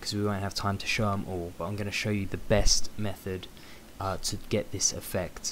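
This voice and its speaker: A quiet, fairly low-pitched man's voice with a British accent, at a fairly quick pace. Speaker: photo editing tutorial creator. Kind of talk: tutorial. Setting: at home late at night.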